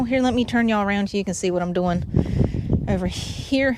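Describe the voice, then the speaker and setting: Noticeable background noise fills the recording. The talking proceeds at a moderate speed. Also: woman. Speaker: outdoor vlogger. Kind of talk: casual livestream chat. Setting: outdoors on a dock. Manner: halting, many fillers.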